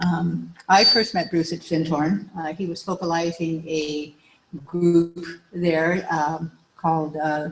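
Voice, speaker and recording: A soft-spoken woman with fairly low pitch talks at a very slow pace. Her intonation is monotone and flat. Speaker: widow giving eulogy. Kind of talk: eulogy. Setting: memorial service with audience. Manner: halting.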